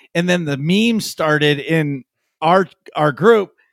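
The man has a plain, everyday voice at a fairly high pitch, with lively intonation and a dry, close sound with no echo. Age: 30s. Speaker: podcast co-host and streamer. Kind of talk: casual chat.

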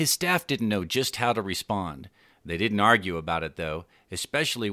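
Someone reads aloud in a natural voice, and the intonation is lively throughout.

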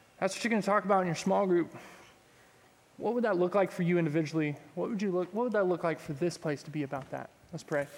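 A man with a Texan accent talks at a very fast pace. His pitch is high, with ordinary variation. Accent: Texan (US Southern). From Texas, Pearland. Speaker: youth pastor. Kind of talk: sermon. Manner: casual.

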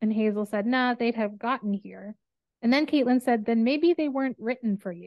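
Here a woman has a normal speaking voice with a fairly high pitch. She talks at a fairly quick pace with ordinary pitch variation. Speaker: podcast host. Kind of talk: casual book discussion podcast.

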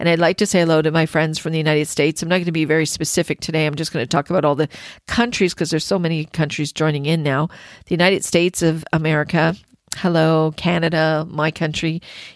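A very fast, monotone delivery with flat intonation on a very clean recording against a silent background. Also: woman, very deep, low pitch for a woman. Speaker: spiritual podcast host. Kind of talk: casual chat; reading aloud with commentary.

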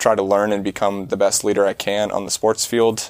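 In a dry, close sound with no echo, a man with an American accent talks at a fairly low pitch in a monotone, flat intonation. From US Midwest, Iowa. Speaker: wilderness trip leader. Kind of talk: casual interview.

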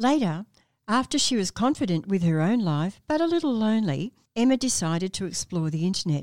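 A woman talks at a fairly quick pace in a warm tone, at a medium pitch with very wide swings. The recording is very clean, the background silent. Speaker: doctor and podcast host. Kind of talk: podcast hosting with narrated story segments. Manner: warm, friendly, laughs often.

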